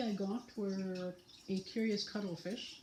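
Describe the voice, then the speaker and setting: A somewhat breathy woman's voice, dark and mellow in tone, with audible room echo and light background noise. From British Columbia, Canada. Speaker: knitting vlogger. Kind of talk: casual tutorial vlog. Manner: slow with long pauses; hesitant, filler words. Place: home room. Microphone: phone near.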